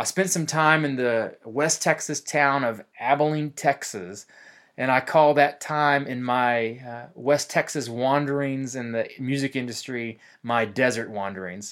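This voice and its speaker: In a very clean recording with a silent background, a man with an unremarkable speaking voice talks at a fairly slow pace, medium pitch and ordinary pitch variation. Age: 20s. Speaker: pastor and worship leader. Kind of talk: podcast monologue.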